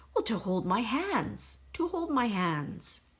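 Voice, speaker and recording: A female-sounding voice does a put-on character voice at a fairly high pitch. The pace is fairly slow. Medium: read story. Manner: slow, repeats words.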